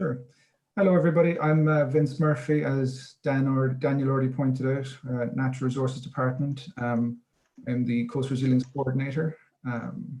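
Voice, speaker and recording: In an Irish accent, a man talks at a moderate pace and medium pitch with fairly even intonation. His tone is dark, mellow and somewhat breathy. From Ireland, Cork. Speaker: coastal resilience coordinator. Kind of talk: webinar talk.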